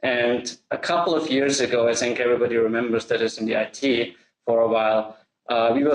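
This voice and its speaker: Austrian accent with fairly even intonation. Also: man. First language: German. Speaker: software integration expert. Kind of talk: webinar presentation.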